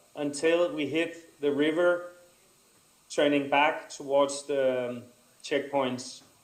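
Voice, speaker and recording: Pitched fairly high for a man, his voice moves at a fairly slow pace with fairly even intonation and audible room echo. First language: not English. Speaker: adventure racer and course designer. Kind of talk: conference presentation. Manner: halting.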